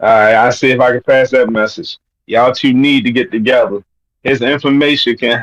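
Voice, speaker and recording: In a Baltimore accent, a man speaks fairly quickly at medium pitch, his loudness very even and his intonation fairly even. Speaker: caller. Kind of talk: casual chat.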